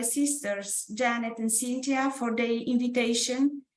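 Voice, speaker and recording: A woman with a Romanian accent speaks at a moderate pace in a high pitch with fairly even intonation. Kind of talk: prepared presentation.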